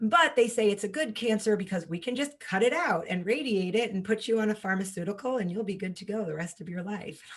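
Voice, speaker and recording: With an American accent, a woman talks very fast in an animated tone with lively intonation over noticeable background noise. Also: medium pitch for a woman. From New York. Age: 30s. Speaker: holistic health coach and cancer survivor. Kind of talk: podcast interview, personal story.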